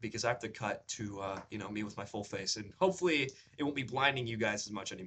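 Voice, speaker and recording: Moving at a fairly quick pace, a man speaks in a bright, sharp tone with very wide pitch swings. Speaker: beginner actor and vlogger. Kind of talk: casual vlog. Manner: raised higher pitch when speaking long in videos.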